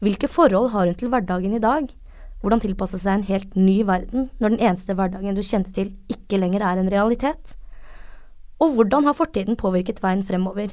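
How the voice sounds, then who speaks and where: In a plain, everyday voice, a woman speaks at a fairly quick pace, with medium pitch and ordinary pitch variation. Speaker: podcast host. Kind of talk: casual chat; scripted narration.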